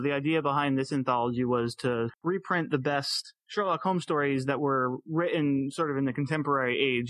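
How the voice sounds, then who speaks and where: Fairly high for a man, this unremarkable speaking voice moves at a fairly quick pace. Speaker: podcast host. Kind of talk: casual interview.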